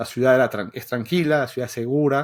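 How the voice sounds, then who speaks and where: The recording is very clean and the background silent. A man is the speaker. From Venezuela. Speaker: software developer and educator. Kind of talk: podcast interview. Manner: halting, many repetitions.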